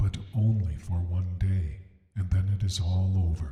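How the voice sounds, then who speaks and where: Clear echo surrounds a man doing a put-on character voice at a very deep, low pitch. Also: moderate pace. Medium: read story. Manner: slow, gentle, kindly.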